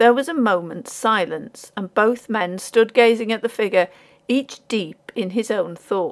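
Someone reads aloud in an unforced reading voice.

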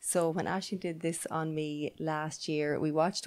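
A woman speaks in an Irish accent. Her voice sits very deep and low. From Ireland. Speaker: podcast host; podcast co-host. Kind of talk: interview. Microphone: handheld.

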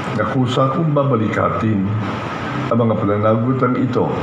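A man speaks at a moderate pace with ordinary pitch variation, audible room echo and noticeable background noise around him. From Philippines. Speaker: city mayor-elect. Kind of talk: repeating an oath of office. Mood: solemn. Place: stage.

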